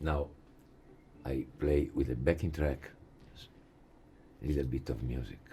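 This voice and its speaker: In an Italian accent, a man with a very deep, low, dark and mellow voice speaks at a fairly slow pace with vocal fry, fairly even intonation and long, frequent pauses. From Italy. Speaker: jazz guitar teacher. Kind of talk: lecture. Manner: halting.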